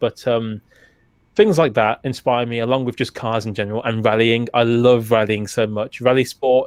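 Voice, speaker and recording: A man with a British accent at a moderate pace, in a dry, close sound with no echo. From UK. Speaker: retro gaming YouTuber. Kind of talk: casual interview chat.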